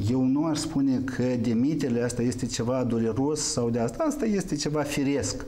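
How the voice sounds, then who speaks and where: At a moderate pace and with hardly any pauses, a man speaks with ordinary pitch variation. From Moldova. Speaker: member of parliament; guest. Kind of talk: political talk show debate. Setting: TV studio. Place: studio.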